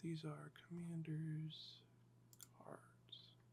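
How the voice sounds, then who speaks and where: A man talks in a relaxed tone. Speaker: Magic: The Gathering deck builder and ASMR content creator. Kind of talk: casual talk to camera, deck building walkthrough. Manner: monotone, slow, relaxed.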